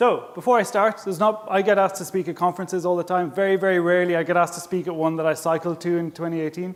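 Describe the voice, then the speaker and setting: With a strong Irish accent, a man talks at a high pitch and a fairly quick pace with fairly even intonation. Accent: Irish, thick. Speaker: smart tourism manager, conference speaker. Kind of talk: conference presentation. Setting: stage with audience and interpreters. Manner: casual, self-deprecating.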